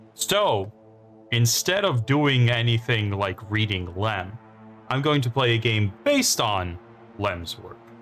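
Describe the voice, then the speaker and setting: With music in the background, a man speaks at a very slow pace and ordinary pitch variation. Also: medium pitch for a man. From Poland. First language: Polish. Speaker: gaming streamer. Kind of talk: live game stream commentary. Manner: casual, hesitant with fillers.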